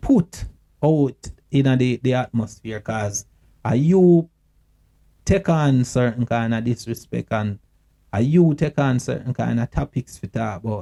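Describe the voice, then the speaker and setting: Dry and close with no echo, a man's medium-pitched voice with a Jamaican accent moves at a fairly slow pace in a dark, mellow tone with ordinary pitch variation. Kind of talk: casual talk to camera. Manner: earnest, emotional.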